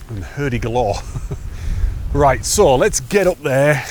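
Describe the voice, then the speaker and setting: With lively intonation and a fairly slow pace, a man speaks over noticeable background noise. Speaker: hiking vlogger. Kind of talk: walking vlog narration. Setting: outdoors on a fell hike. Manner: casual, halting.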